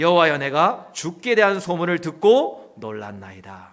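Very wide pitch swings run through this man's speech at a fairly slow pace. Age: 40s. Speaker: pastor. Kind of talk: sermon. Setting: church.

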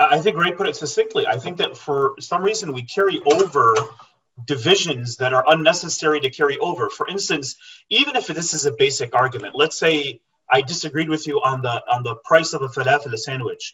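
An ordinary speaking voice belongs to a man with an American accent. He speaks at a fairly quick pace, his fairly high pitch showing ordinary variation. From US, Michigan, Syrian family. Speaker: political analyst. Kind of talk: radio panel discussion.

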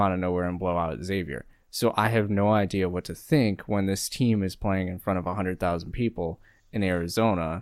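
A man with an American accent, a very deep, low pitch, fairly even intonation and a moderate pace. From US Midwest, Ohio. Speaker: sports podcast co-host. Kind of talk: casual chat.

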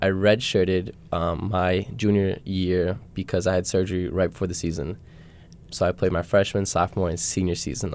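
Speaking fairly quickly, a man with an American accent has a very deep, low pitch. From Minnesota. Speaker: college student athlete. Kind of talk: casual chat. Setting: studio.

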